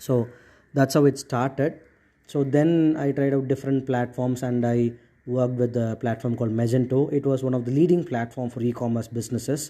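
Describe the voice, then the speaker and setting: Speaking at a fairly quick pace, a man with a Tamil accent has a medium-pitched voice. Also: quiet background. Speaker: podcast host, entrepreneur. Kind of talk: solo podcast monologue. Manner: hesitant, many fillers.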